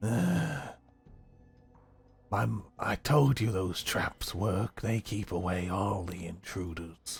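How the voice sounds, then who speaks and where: Using a raspy, put-on character voice with a very deep, low pitch, a man speaks at a very slow pace with long, frequent pauses. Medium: actual play.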